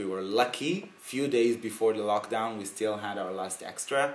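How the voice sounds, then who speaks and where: A man's fairly low voice, slow-ish in pace and fairly even in intonation, with audible room echo. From Israel, Sea of Galilee. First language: Hebrew. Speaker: drag performer. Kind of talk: interview. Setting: home.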